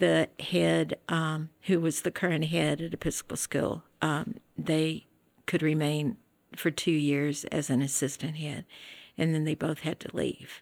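A woman with a Southern US accent speaks at a fairly slow pace in a very deep, low pitch with vocal fry and fairly even intonation, on a very clean recording with a silent background. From West Tennessee (Jackson). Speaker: retired school teacher and administrator. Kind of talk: interview conversation.

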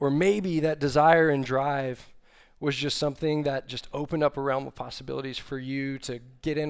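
An ordinary speaking voice from a man with an American accent, medium in pitch, moderate in pace and fairly even in intonation, on a very clean recording with a silent background. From Texas, Austin. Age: 30s. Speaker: young adult ministry staff, preacher. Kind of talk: sermon. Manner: casual with frequent fillers.

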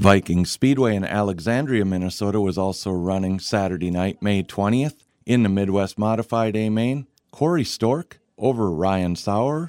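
A plain, everyday voice from a man, fairly low in pitch, with ordinary pitch variation, a moderate pace and a dry, close sound with no echo. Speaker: radio host. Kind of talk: radio show hosting, interview and ad reads. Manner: polished, clear, professional announcer delivery.

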